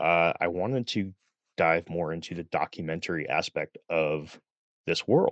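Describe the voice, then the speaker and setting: A man talks with an American accent. His pitch is very deep and low. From Connecticut. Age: 30s. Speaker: podcaster. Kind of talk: personal testimony in interview.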